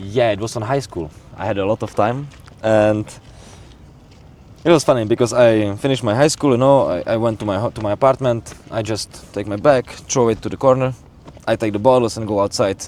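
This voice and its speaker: A man with a Czech accent speaks at a fairly quick pace, his pitch medium and its variation ordinary. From Czech Republic. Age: 20s. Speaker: bartender. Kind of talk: casual chat. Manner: halting.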